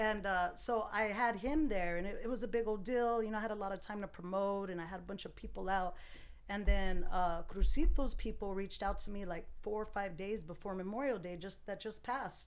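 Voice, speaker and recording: Audible room echo surrounds a woman speaking at medium pitch. Her pace is fairly quick, with ordinary pitch variation. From Tucson, Arizona. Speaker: barber and DJ. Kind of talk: casual chat.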